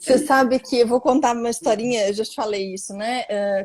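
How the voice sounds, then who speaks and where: A woman with a fairly high voice talks fairly quickly, her pitch rising and falling in an ordinary way. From Brazil, various cities. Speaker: lawyer and mediator. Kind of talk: live-stream interview. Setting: online live stream. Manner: animated.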